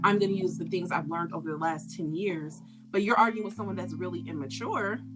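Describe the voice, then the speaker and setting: A woman at a very fast pace, with music in the background and audible room echo. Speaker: podcast co-host. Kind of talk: casual chat.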